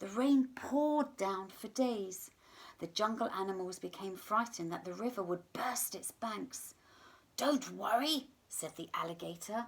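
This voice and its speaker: A woman with an ordinary speaking voice, fairly high in pitch, speaks at a fairly slow pace. Her intonation is lively and her loudness swings widely. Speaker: teacher reading a story to pupils. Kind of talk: children's story read-aloud. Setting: home recording for remote learning.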